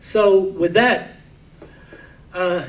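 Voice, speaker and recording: A man with an American accent and a high pitch, ordinary pitch variation, audible room echo and noticeable background noise. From United States. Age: 90s. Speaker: war veteran and Holocaust educator. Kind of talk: lecture. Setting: library talk with audience. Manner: halting, repeats words.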